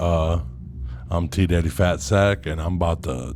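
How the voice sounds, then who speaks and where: A man speaks with a very deep, low pitch. His tone is dark and mellow. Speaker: podcast co-host. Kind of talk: casual chat. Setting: studio.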